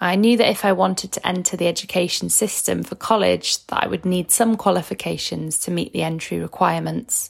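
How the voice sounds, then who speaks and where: A woman speaks with a Manchester accent. Her pace is fairly quick. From Manchester, England. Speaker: former home-educated student. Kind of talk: recorded testimony, read from notes.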